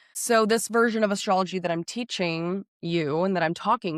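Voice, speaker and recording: The sound is dry and close, with no echo at all. Pitch moves in an ordinary way over a very clean recording with a silent background. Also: woman. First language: not English (English is second language). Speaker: astrologer, podcast host. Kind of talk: casual monologue to listeners. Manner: animated.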